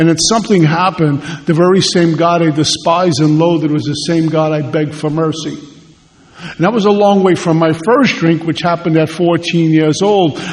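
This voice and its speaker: A man speaks at a moderate pace with a New York accent, his pitch high and his intonation fairly even, his loudness very even over noticeable background noise. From Brooklyn, New York. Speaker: AA speaker. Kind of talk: testimony.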